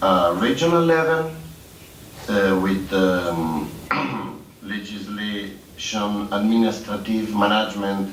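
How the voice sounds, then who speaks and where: Speaking at a very slow pace with long, frequent pauses, a man uses lively intonation over audible room echo and noticeable background noise. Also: fairly low pitch for a man. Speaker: public employment services expert. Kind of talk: conference presentation. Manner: halting, many fillers.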